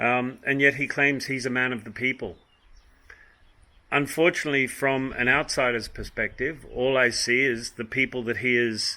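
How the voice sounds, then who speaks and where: A man speaks in an Australian accent at a fairly slow pace. His tone is bright and sharp. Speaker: vlogger. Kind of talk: opinion monologue. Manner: hesitant, many ums.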